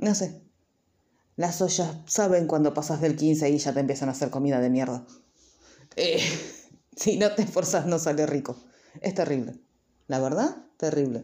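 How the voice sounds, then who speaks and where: A woman's very deep, low voice with a dark, mellow tone in a Rioplatense accent, at a moderate pace with very even loudness, ordinary pitch variation, and long, frequent pauses. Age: 30s. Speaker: YouTuber. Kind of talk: casual vlog monologue.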